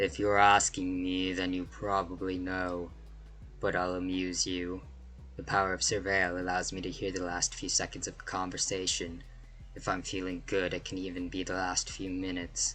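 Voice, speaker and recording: With clear background noise, a man uses a put-on character voice with a very deep, low pitch at a moderate pace. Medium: game stream. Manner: sarcastic, aloof.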